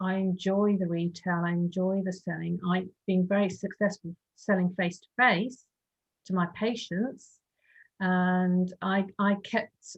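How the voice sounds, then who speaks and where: The woman's voice is somewhat breathy. Her intonation stays monotone and flat. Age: 60s. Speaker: foot health clinician and online retailer. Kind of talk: casual group discussion.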